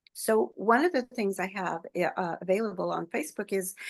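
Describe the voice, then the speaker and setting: Against a quiet background, a woman speaks at a moderate pace with vocal fry and ordinary pitch variation. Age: 70s. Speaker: author and mothers' wellness advocate. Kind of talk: interview conversation.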